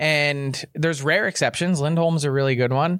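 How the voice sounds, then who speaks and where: On a very clean recording with a silent background, a man with a fairly high pitch speaks at a moderate pace in an unremarkable speaking voice, with ordinary pitch variation. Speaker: hockey insider. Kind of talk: casual interview. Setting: live studio at event.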